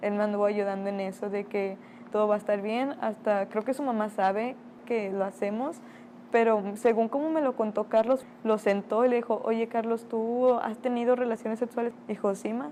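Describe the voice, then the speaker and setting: At a moderate pace, a woman speaks in a normal speaking voice with fairly even intonation. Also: fairly high pitch for a woman. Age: 20s. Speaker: interviewee. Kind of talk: testimony.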